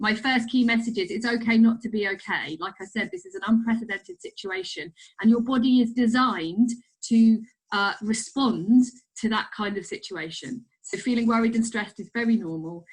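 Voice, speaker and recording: A woman's fairly high, somewhat breathy voice shows ordinary pitch variation and big swings in loudness. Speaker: clinical psychologist. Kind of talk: recorded webinar presentation. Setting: recorded online presentation with slides. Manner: fast; hesitant, many fillers.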